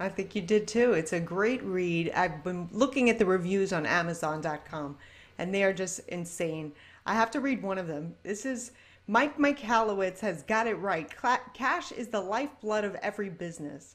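A woman at a moderate pace, with lively intonation. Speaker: podcast host. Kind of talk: interview questions. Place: office. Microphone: video call.

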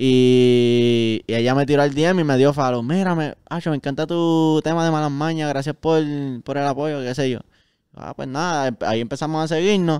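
With a fairly high pitch and ordinary pitch variation, a man talks at a moderate pace in a dry sound with no echo and a quiet background. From Puerto Rico, Caguas; Puerto Rico. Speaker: musician; guest. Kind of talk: casual chat. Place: studio. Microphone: handheld.

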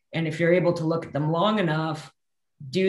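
Against a quiet background with audible room echo, a woman with a Canadian accent speaks with fairly even intonation. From interior of British Columbia, Canada. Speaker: forest scientist; guest. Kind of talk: casual interview chat. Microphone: video call.

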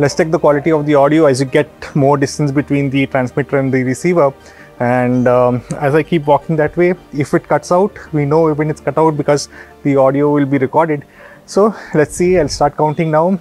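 A man talks at a fairly quick pace with very even loudness and fairly even intonation, the sound dry with no echo and faint music playing in the background. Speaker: product reviewer. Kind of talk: tutorial review. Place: street. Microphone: lapel.

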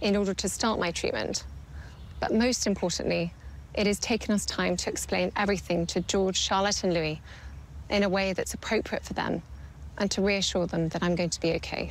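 A woman talks at a fairly quick pace, and the sound is dry with no echo. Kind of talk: prepared personal statement to camera. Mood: calm, sombre, composed. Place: garden.

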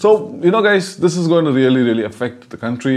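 A man's fairly high, animated voice at a fairly quick pace, with very wide pitch swings against a quiet background. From India, Tamil Nadu. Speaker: YouTuber; vlogger. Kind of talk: vlog commentary. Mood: earnest, pleading. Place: home room. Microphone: lapel.

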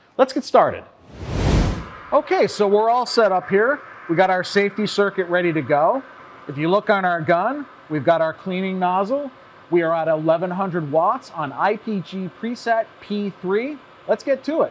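With lively intonation, a man talks at a high pitch. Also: moderate pace.

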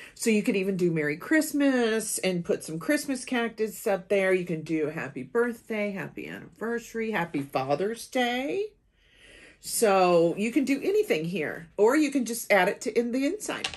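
At a moderate pace, a woman talks with very wide pitch swings. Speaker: craft channel host. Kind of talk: tutorial. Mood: cheerful, enthusiastic. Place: home room.

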